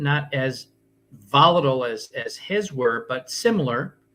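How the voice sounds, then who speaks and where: This man talks fairly slowly in a fairly high pitch. His tone is bright and sharp. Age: 60s. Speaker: health and wellness coach. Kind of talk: interview. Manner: hesitant with fillers.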